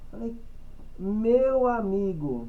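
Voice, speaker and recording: Speaking amid noticeable background noise, a man's voice comes with audible room echo. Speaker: church group member. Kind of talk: group Bible study discussion. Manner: energetic, repetitive stammering.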